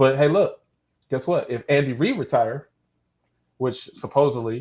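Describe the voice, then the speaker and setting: A man with an American accent talks at a moderate pace and medium pitch, somewhat breathy and with ordinary pitch variation. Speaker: football podcast host. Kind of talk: casual chat. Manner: halting.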